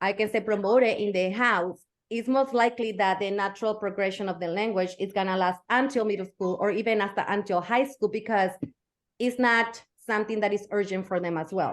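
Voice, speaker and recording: A woman with a Spanish accent, medium pitch, fairly even intonation and a fairly quick pace. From Mexico. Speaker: educator. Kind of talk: interview.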